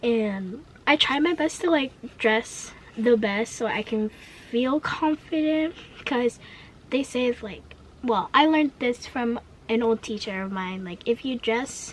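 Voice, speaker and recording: Against noticeable background noise, a woman with a high pitch speaks at a fairly slow pace, using lively intonation and long, frequent pauses. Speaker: vlogger. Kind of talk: casual rant vlog. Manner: stutters; energetic.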